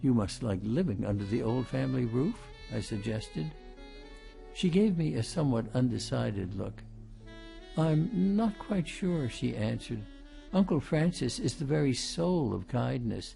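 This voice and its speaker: A man speaking at a moderate pace, music in the background. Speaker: audiobook narrator. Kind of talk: audiobook reading of a mystery novel. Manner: well-paced, good emphasis.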